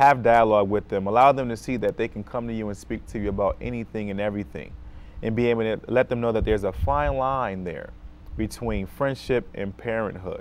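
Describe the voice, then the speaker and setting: With an American accent, a man talks at a fairly quick pace in a fairly low pitch, using ordinary pitch variation. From Rochester, New York, US; New York. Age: 30s. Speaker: school social worker; guest. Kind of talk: talk show interview. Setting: TV studio. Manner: many fillers (um, uh). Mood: earnest, calm advice. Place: studio.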